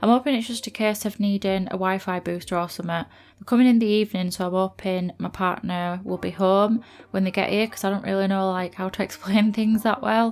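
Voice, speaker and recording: With a Yorkshire accent, a woman speaks at a medium pitch and a fairly quick pace. Her intonation is fairly even, with hardly any pauses. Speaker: gaming YouTuber. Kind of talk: voiceover commentary. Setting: recording in bedroom on laptop. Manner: monotone. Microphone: laptop placed on floor, speaker sits away from it.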